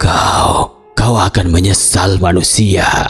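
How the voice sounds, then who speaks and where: A man puts on a character voice, very deep and low in pitch, hoarse and raspy. He speaks at a very slow pace over faint music in the background. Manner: menacing shouting.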